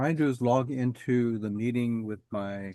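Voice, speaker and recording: The speaker mumbles in a dark, mellow tone. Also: man. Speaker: backgammon study group leader. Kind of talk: casual chat. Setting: video call. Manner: mumbling; halting.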